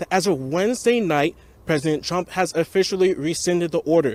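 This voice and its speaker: Energetic in tone, a man with an American accent speaks at a fairly quick pace, his pitch high with ordinary variation. The sound is dry and close, without echo. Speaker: news reporter and anchor. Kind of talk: broadcast news reporter stand-up and anchor read. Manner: energetic, authoritative on-location reporting.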